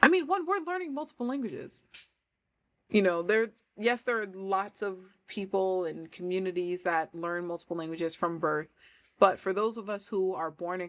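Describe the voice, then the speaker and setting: A woman with an American accent speaks at a moderate pace in a fairly low voice. The recording is very clean, with a silent background. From New York. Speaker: language coach. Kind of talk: casual livestream chat. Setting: livestream.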